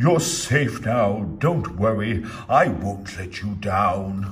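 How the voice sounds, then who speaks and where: A man puts on a character voice with a fairly low pitch, speaking at a very slow pace. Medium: read story. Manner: earnest, kind.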